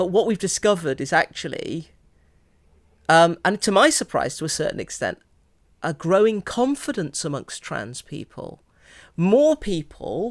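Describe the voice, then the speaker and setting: A woman with an English accent at a fairly slow pace, in a very clean recording with a silent background. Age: 50s. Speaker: priest and theologian. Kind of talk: interview conversation. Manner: hesitant, many fillers.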